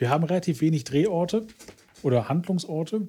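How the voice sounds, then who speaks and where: A man with a dark, mellow tone talks at a moderate pace. His pitch varies in an ordinary way. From Ruhr area, Germany. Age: middle-aged. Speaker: podcast co-host. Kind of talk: casual chat.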